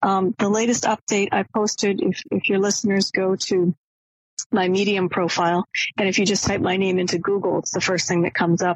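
Here a woman has a plain, everyday voice with an American accent and medium pitch. She talks at a fairly quick pace with fairly even intonation and very even loudness. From Maine, US. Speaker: academic and author. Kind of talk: interview.

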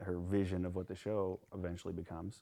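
A man with an American accent speaks at a moderate pace in a very deep, low voice with a dark, mellow tone. The recording is very clean, with a silent background. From US Midwest, Nebraska. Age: 20s. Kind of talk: casual chat.

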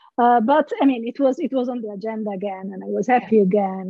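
A woman speaks with an Italian accent in a somewhat breathy voice. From Italy, Genoa. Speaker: philosophy lecturer. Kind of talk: casual interview.

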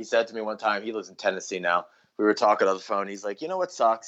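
A man with an American accent talks at a very fast pace, his fairly low pitch showing ordinary pitch variation and big swings in loudness. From New Jersey (Philadelphia area). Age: 30s. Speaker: musician. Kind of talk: casual chat.

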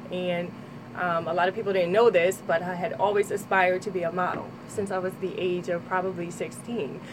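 A woman's medium-pitched voice stays monotone and flat as noticeable background noise carries on. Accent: New Jersey. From Trenton, New Jersey. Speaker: model and personal trainer. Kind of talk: radio interview. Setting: radio studio.

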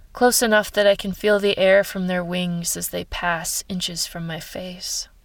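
Speaking in a plain, everyday voice with an American accent, a woman talks at medium pitch and a fairly slow pace in a very clean recording with a silent background. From Ohio. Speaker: writer and science communicator. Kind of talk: reading aloud.

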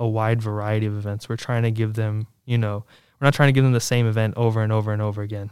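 A man talks very fast with an American accent at medium pitch. His intonation is monotone and flat. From Virginia, Williamsburg area. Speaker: student organization leader. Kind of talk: interview. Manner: casual, many fillers.

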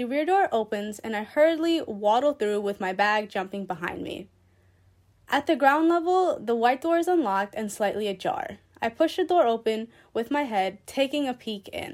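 Her pitch fairly high and swinging very widely, a woman speaks with an American accent. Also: moderate pace, very clean recording, silent background. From Queens, New York. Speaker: student author. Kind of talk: reading aloud.

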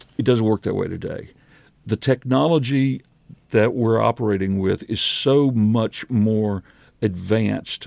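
A plain, everyday voice from a man, medium in pitch with ordinary pitch variation, at a fairly slow pace, in a dry, close sound with no echo. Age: 60s. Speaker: public affairs manager at a paper mill. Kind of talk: casual interview.

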